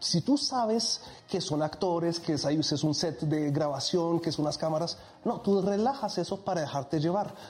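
Here is a man with a high pitch and lively intonation. He keeps a moderate pace. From Egypt. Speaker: hypnotist. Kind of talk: casual chat; hypnosis induction.

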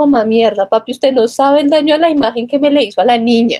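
A woman's high-pitched voice with ordinary pitch variation, in a dry, close sound with no echo. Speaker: podcast co-host. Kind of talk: casual chat. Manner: animated.

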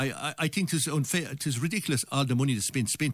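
A man with a Limerick accent talks at a very fast pace with lively intonation. The recording is very clean, with a silent background. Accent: Irish (Limerick). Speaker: election candidate. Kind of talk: radio election debate. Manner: halting.

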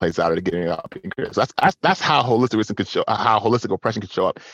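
A man's fairly low voice with an American accent, dry and close with no echo, over a quiet background. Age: 40s. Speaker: touch specialist and facilitator. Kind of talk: interview conversation. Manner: halting.

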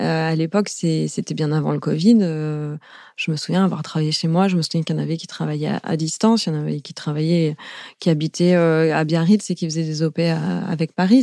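A woman with a very deep, low pitch and a dark, mellow tone speaks in fairly even intonation on a very clean recording with a silent background. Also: moderate pace. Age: 40s. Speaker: founder of an event freelance platform. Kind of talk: casual interview. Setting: studio.

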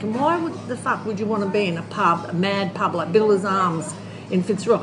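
A woman with an Australian accent, amid noticeable background noise and audible room echo. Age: 60s. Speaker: animal rescuer and recovering alcoholic. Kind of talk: casual interview. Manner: halting.

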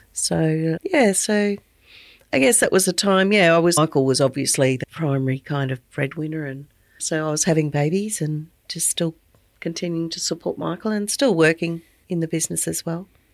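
A woman with an Australian accent talks at a moderate pace in a fairly low pitch with ordinary variation, the sound dry and close with no echo on a very clean recording with a silent background. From rural Queensland, Australia. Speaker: business owner and podcast host. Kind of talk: casual interview chat.

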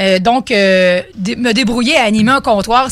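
A woman with a plain, everyday voice, pitched fairly high, with ordinary pitch variation. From Beauce, Quebec. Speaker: mobile cocktail bartender, entrepreneur. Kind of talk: radio interview. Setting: radio studio.

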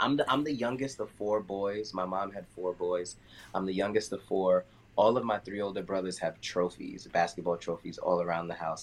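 The speaker talks in a New York accent at a moderate pace. Pitch variation is ordinary. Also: man, fairly low pitch for a man. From US, Queens, New York. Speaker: dancer and choreographer. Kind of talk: casual chat.

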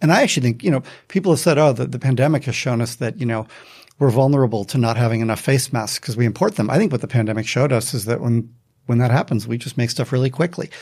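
On a very clean recording with a silent background, a man with an American accent talks at a very fast pace in a somewhat breathy voice. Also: medium pitch for a man, ordinary pitch variation. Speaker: economics professor. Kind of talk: panel discussion.

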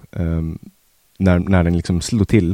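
Recorded with a dry, close sound and no echo, a man speaks in a very deep, low voice with a dark, mellow tone. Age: 20s. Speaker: guest. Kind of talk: casual conversation.

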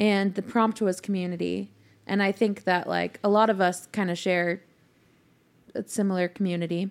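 A woman talks with a Californian accent. Her intonation is monotone and flat. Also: medium pitch for a woman, moderate pace. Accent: general American (Californian). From Northern California (Mill Valley). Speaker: singer-songwriter. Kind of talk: casual chat. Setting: at host's house.

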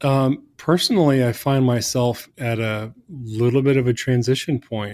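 In a normal speaking voice with an American accent, a man talks at a fairly slow pace and medium pitch with ordinary pitch variation, on a very clean recording with a silent background. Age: 40s. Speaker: church design director. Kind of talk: interview.

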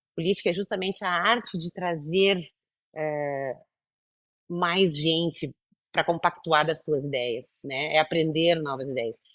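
A woman speaks at a fairly low pitch with ordinary pitch variation against a quiet background. Her pace is fairly slow, broken by long, frequent pauses. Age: 50s. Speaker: entrepreneur, founder of a women's business program. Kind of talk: interview conversation.

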